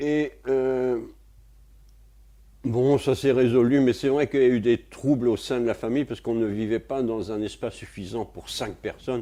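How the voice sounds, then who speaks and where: On a very clean recording with a silent background, a man with a medium pitch and a dark, mellow tone speaks fairly slowly, with fairly even intonation and long, frequent pauses. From France, Paris. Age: 70s. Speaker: retired physics and chemistry lecturer. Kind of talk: interview testimony. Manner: hesitant, many fillers.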